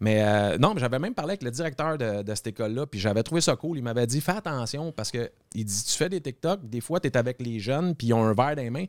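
Barely pausing, a man with a Quebec accent talks very fast at a medium pitch with lively intonation, in a dry, close sound with no echo on a very clean recording with a silent background. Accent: Québécois French. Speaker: TikToker. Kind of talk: casual chat.

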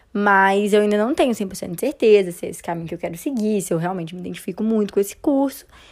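A woman's very fast, lively speech on a very clean recording with a silent background. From Brazil, Belo Horizonte. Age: young. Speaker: podcast co-host, engineering student. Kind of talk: casual chat.

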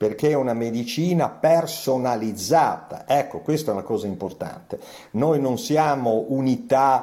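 Talking at a moderate pace, a man with a plain, everyday voice uses medium pitch and lively intonation. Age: 60s. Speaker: physician. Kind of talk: interview.

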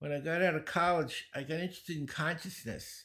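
A man with a Brooklyn accent is heard on a very clean recording with a silent background. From US Northeast, Brooklyn, New York. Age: 70s. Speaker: speed reading and learning teacher. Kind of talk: interview conversation. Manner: animated, joking.

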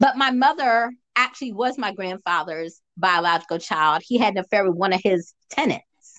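This woman has an unremarkable speaking voice at a medium pitch, with lively intonation. She talks at a moderate pace with hardly any pauses. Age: 50s. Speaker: podcast host and sex worker. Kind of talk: casual interview. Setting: remote call from home. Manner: chatty, rambling.

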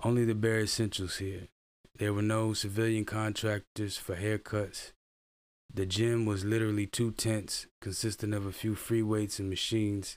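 In a very clean recording with a silent background, a man speaks in a fairly low voice. His intonation is monotone and flat. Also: moderate pace. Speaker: army veteran and video creator. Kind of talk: reading aloud a personal blog post. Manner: halting, stumbles over words.

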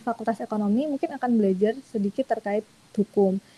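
A woman's somewhat breathy voice, fairly high in pitch with a dark, mellow tone, moves with ordinary pitch variation in a dry, close sound with no echo. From Indonesia, Bantul (Yogyakarta). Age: 20s. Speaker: in-house lawyer. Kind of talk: webinar talk.

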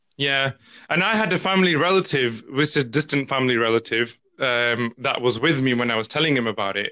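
Speaking in a British accent, a man talks at a medium pitch and a fairly quick pace with lively intonation. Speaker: podcast host. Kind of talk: casual interview chat.

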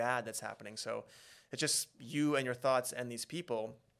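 In a Western Canadian accent, a man speaks at a fairly quick pace with a bright, sharp tone, medium pitch and ordinary pitch variation. The recording is very clean, with a silent background. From Alberta, Canada (Beaumont, near Edmonton). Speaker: reality TV contestant and social media influencer. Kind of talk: casual interview.

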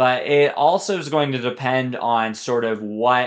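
Against a quiet background, a man uses an ordinary speaking voice at a medium pitch with lively intonation. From Colorado. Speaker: street performer and ocarina musician. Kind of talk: casual interview.

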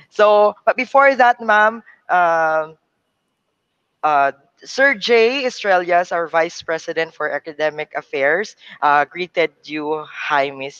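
With a Cebuano accent, the speaker goes at a very slow pace against a quiet background. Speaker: event moderator. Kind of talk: event hosting. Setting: video call.

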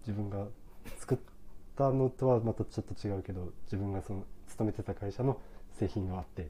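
A man with a fairly low, somewhat breathy voice and a dark, mellow tone talks at a fairly quick pace with ordinary pitch variation, leaving long, frequent pauses. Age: 30s. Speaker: coffee shop owner. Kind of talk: casual chat.

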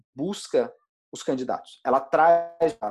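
A plain, everyday voice with lively intonation against a quiet background. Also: man. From Brazil, interior of Goiás. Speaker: startup co-founder. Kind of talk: interview.

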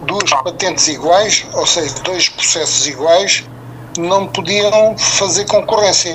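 A man at a very slow pace, ordinary pitch variation, noticeable background noise. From Mozambique. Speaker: retired entrepreneur. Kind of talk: radio interview. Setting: phone call.

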